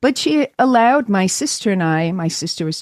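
A woman with an ordinary speaking voice talks at a fairly slow pace and medium pitch. The sound is dry and close, with no echo. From New York, Brooklyn. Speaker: chiropractor and sound healer. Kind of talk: interview.

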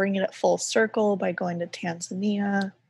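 A woman with an American accent speaks fairly slowly in a medium-pitched, somewhat breathy voice with monotone, flat intonation, on a very clean recording with a silent background. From US South. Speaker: graphic designer and artist. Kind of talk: casual interview chat.

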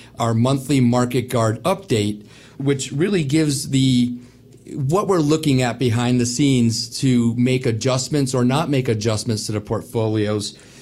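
A man has a plain, everyday voice at a medium pitch, with ordinary pitch variation. He speaks at a moderate pace. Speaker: wealth advisor. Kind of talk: casual radio chat.

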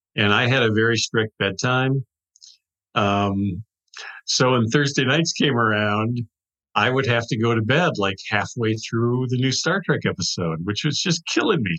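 In an American accent, the voice has a bright, sharp tone in a dry, close sound with no echo. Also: man, medium pitch for a man, ordinary pitch variation, fairly slow pace. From US Midwest, Wisconsin. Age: 60s. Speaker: author and TV writer. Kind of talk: interview.

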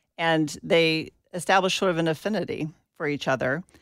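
On a very clean recording with a silent background, a woman speaks in a very deep, low pitch with ordinary pitch variation. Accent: American. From US South, Atlanta, Georgia. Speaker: pastor and progressive faith activist. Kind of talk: interview.

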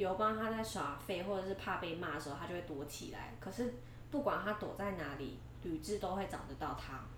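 A woman talks at a fairly quick pace in a medium pitch with lively intonation. Noticeable background noise and audible room echo fill the recording. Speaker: history podcast co-host. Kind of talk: storytelling; casual chat. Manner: little vocal variation.

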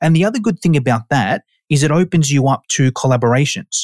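With a fairly high pitch and lively intonation, a man speaks in an Australian accent on a very clean recording, dry and close, with a silent background and no echo. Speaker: personal trainer and online course educator. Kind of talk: casual interview chat.

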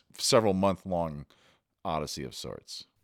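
At a moderate pace, a man speaks in a very deep, low voice on a very clean recording with a silent background. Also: dry, close sound with no echo. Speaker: podcast host. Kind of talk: interview and narration. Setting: in-person interviews on location.

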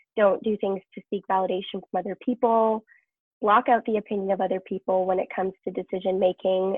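A woman's normal speaking voice of medium pitch with fairly even intonation. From Canada, British Columbia. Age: young. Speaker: professional dancer and entrepreneur. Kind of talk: interview conversation.

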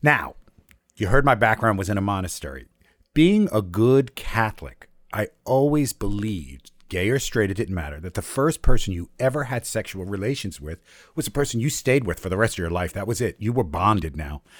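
On a very clean recording with a silent background, a man talks at a fairly quick pace. His fairly low voice moves in very wide pitch swings. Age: 60s. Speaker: storyteller and educator. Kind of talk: personal storytelling.

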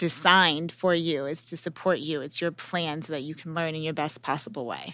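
A woman talks at a fairly quick pace with ordinary pitch variation. Hers is a plain, everyday voice. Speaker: podcast host and former teacher. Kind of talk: podcast interview.

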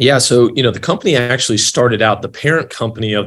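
A man talks at a very fast pace. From Kentucky, Louisville. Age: 30s. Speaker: health tech executive. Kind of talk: interview.

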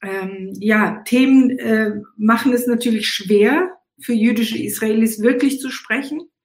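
A woman's somewhat breathy, fairly high voice, at a fairly slow pace with ordinary pitch variation. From Israel, Eilat; raised East Africa and Germany. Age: 60s. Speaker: musician and activist. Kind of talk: casual chat.

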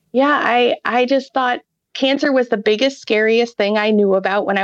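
The speaker has an American accent and a moderate pace with ordinary pitch variation. The sound is dry and close with no echo, against a quiet background. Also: woman. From Ohio, US Midwest. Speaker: pediatric hematologist-oncologist and researcher. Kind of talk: interview.

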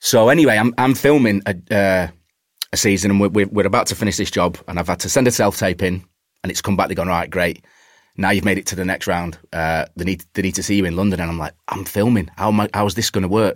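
Speaking very fast, a man with a Cheshire accent uses ordinary pitch variation. His pitch is fairly low. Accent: northern English, Warrington. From Warrington, northern England. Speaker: actor. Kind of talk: casual chat.

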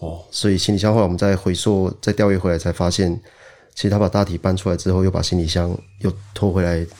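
A man talks at a very fast pace with a very deep, low pitch. His tone is dark and mellow, with monotone, flat intonation. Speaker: police officer. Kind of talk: interview. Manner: hesitant, with many fillers.

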